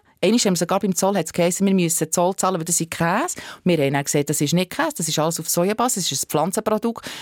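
A woman at medium pitch and a very fast pace, in a dry, close sound with no echo on a very clean recording with a silent background. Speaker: animal rights activist. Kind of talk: interview. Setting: studio.

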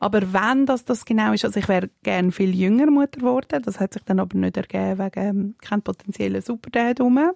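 Very fast speech from a woman with a Swiss accent at medium pitch, ordinary pitch variation and hardly any pauses, on a very clean recording with a silent background and a dry, close sound with no echo. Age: 40s. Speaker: mother and public figure. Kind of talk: casual chat.

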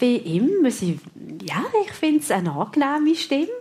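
A woman's high, slightly mellow voice with a slightly husky edge, big pitch swings and a fairly slow pace

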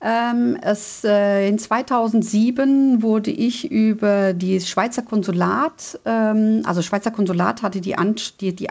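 Ordinary pitch variation from a woman. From Germany. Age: 60s. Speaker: Swiss expat club president. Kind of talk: radio interview. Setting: phone call. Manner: halting, many fillers.

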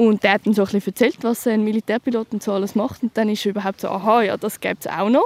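Speaking very fast with hardly any pauses, a woman uses a fairly high pitch and fairly even intonation, the sound dry and close with no echo. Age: 20s. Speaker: soldier. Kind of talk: field interview.

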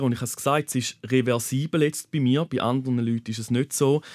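A man at medium pitch and a moderate pace, monotone and flat in intonation, on a very clean recording with a silent background and a dry, close sound with no echo. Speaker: nurse. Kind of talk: personal testimony. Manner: halting.

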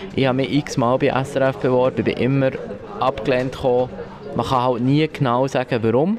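A man at a moderate pace, fairly even intonation and very even loudness, over noticeable background noise. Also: medium pitch for a man. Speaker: radio producer, visually impaired. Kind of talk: interview at the workplace. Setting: newsroom. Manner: hesitant, many fillers.

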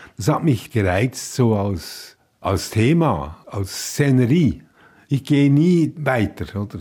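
A man's somewhat breathy, dark and mellow voice at medium pitch, very slow, with very wide pitch swings, on a very clean recording with a silent background. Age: 80s+. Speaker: writer. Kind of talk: interview. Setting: kitchen at home.

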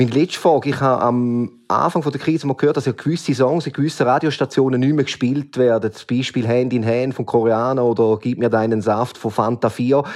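Talking at a very fast pace with hardly any pauses, a man keeps a medium pitch and fairly even intonation. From Switzerland, canton of St. Gallen. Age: 40s. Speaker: listener asking questions. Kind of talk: casual interview questions.

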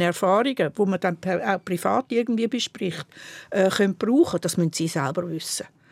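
A woman with a Swiss accent is heard in a very clean recording with a silent background and a dry, close sound with no echo. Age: 70s. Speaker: historian. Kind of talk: casual chat.

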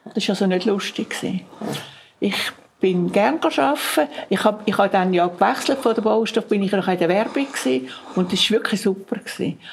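A woman speaks at medium pitch with lively intonation and a fairly quick pace, broken by long, frequent pauses. Noticeable background noise runs behind her. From Zurich, Switzerland. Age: 80s+. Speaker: contemporary witness. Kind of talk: oral history interview.

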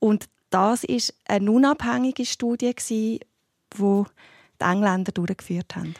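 The speech moves at a very slow pace with lively intonation. The sound is dry and close with no echo, on a very clean recording with a silent background. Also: woman, medium pitch for a woman. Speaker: family doctor and homeopath. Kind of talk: radio panel discussion.

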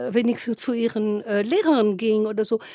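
A woman with a French accent speaks at a moderate pace, her fairly high voice dark and mellow in tone. Her intonation is fairly even, and the sound is dry and close with no echo. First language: French (speaking German). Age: 70s. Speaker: novelist. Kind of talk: interview.

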